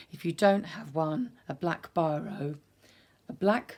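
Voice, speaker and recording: A woman with a British accent, fairly low pitch and very slow pace, in a very clean recording with a silent background. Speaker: art instructor. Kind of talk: tutorial. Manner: calm, instructive.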